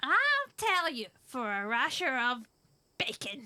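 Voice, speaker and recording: A put-on character voice, female-sounding and high in pitch, unfolds at a fairly slow pace. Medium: audio drama. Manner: gruff, blunt.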